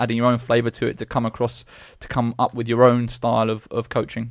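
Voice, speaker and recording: In a British accent, a man with a medium-pitched voice speaks very fast, the sound dry with no echo and the background quiet. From Britain. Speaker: podcast host. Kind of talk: interview. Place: studio. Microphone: studio mic.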